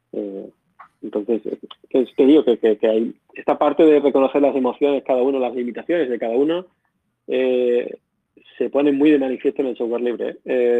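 This man has an Extremaduran accent and a medium pitch. He talks at a fairly quick pace with fairly even intonation. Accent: Badajoz accent, returned after moving back. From Extremadura, Spain (Badajoz). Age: 30s. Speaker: software engineer, open-source project founder. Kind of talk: interview. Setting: live voice chat.

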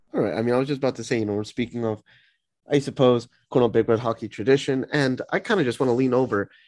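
In a quiet background, a man with an American accent talks very fast at a medium pitch with fairly even intonation. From US Northeast tri-state area. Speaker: student podcast host. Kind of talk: casual interview.

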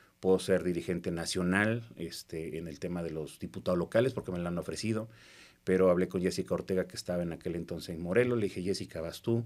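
A man speaks at a fairly quick pace with a very deep, low pitch and ordinary pitch variation. The recording is very clean, with a silent background. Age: 40s. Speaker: politician. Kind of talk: casual interview.

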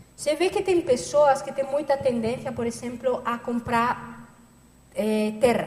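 A woman's high voice at a fairly slow pace, with ordinary pitch variation and noticeable background noise. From Catalonia, Spain (Barcelona). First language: Spanish or Catalan (speaking Portuguese). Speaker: lecturer, researcher. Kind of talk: lecture.

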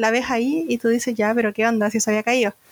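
A woman's high-pitched voice, dry and close with no echo. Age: 30s. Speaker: nurse. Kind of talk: casual chat.

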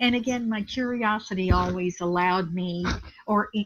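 A woman's somewhat breathy voice at medium pitch carries ordinary pitch variation. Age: 70s. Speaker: community builder and college trustee. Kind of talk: reflective interview. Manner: reflective, thoughtful.

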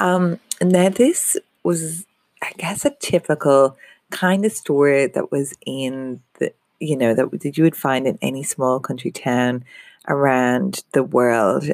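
A woman with an Irish accent, very slow and very deep, low in pitch, with lively intonation and a dry, close sound with no echo. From Ireland. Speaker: business coach. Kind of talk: podcast monologue. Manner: halting.

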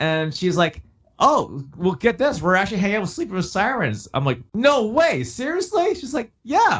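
With very wide pitch swings, a man's speech moves along at a moderate pace. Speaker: musician. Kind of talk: casual interview chat.

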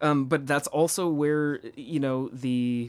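Using an ordinary speaking voice, a man talks at a fairly high pitch with fairly even intonation on a very clean recording with a silent background. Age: 30s. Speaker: podcast co-host. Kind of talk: casual chat.

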